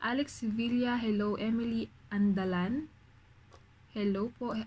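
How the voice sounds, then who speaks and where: A soft-spoken woman talks at a very slow pace, her voice somewhat breathy. Her pitch is medium and her intonation fairly even. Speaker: vlogger, overseas factory worker. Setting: dorm room at night.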